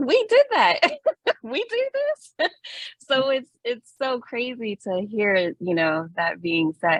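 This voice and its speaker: Recorded dry and close with no echo, a woman talks with a Miami accent. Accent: Miami American English. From Miami, Florida (Little Havana). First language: Spanish. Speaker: doctoral researcher presenter. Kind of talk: academic presentation.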